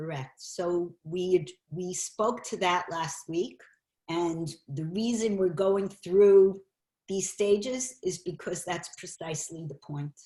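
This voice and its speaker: Talking at a very slow pace, a woman with a fairly low pitch and a somewhat breathy voice shows ordinary pitch variation and big swings in loudness. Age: 60s. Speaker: teacher of a class on anxiety. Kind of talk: online class lecture. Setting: video call.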